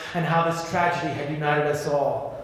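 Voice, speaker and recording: Over noticeable background noise, a man speaks at a high pitch with fairly even intonation. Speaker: singer and actor. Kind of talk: audiobook memoir reading.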